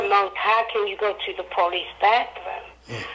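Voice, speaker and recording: A woman with an American accent at a fairly slow pace, her intonation fairly even, amid noticeable background noise. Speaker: guest, mother of a man who died in police custody. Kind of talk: emotional interview answer on a radio show.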